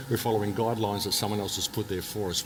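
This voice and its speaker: A man talks over noticeable background noise. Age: 60s. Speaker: alternative speaker, author and radio host. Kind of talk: interview monologue. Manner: repetitive, halting restarts.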